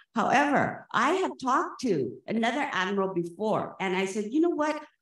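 A woman at a moderate pace with very wide pitch swings, audible room echo and a quiet background. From Hawaii. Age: 60s. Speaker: public commenter at a government meeting. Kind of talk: public comment. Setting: public meeting. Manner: animated. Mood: impassioned, indignant. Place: hall. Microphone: podium.

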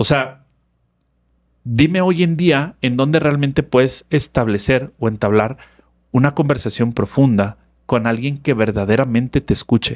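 A man at a medium pitch, fairly slow, with ordinary pitch variation and very even loudness against a quiet background. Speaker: therapist and personal development speaker; speaker. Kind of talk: casual interview chat. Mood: reflective, earnest. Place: studio. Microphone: studio mic.

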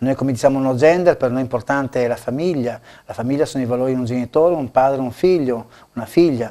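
A man talks at a very fast pace with a dark, mellow tone. His pitch varies in an ordinary way against a quiet background. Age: 50s. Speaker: local election candidate; candidate. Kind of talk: TV interview. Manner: halting, many fillers and repetitions. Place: studio. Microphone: lapel.

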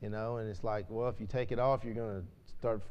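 The tone here is dark and mellow. It belongs to a man. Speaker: class teacher at a church. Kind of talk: casual class talk then spoken prayer. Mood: light chat, then solemn prayer. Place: church.

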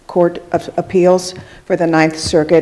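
Her fairly low voice flat and monotone, a woman speaks at a fairly slow pace. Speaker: event moderator. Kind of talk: formal event introduction. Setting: live event with audience. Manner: formal. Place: hall. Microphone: podium.

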